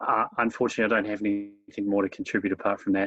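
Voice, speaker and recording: The speaker has a New Zealand accent. The sound is dry and close, with no echo. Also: man. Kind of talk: casual chat. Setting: video call. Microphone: bad connection.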